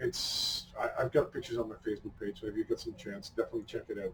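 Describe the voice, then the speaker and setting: With a Dutch accent, a man speaks using lively intonation. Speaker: hot sauce reviewer. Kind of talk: casual review chat.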